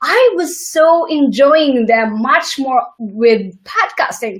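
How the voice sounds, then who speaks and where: Her voice high-pitched, a woman speaks with very wide pitch swings. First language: not English. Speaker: interview host and entrepreneur. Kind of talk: interview. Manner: halting, many restarts.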